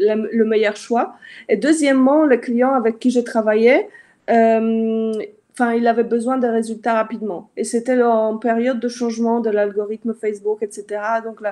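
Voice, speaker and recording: The tone is dark and mellow as a woman speaks at a fairly slow pace. Her intonation stays fairly even. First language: not French (speaking French). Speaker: Facebook ads consultant. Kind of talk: live interview. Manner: halting, many fillers.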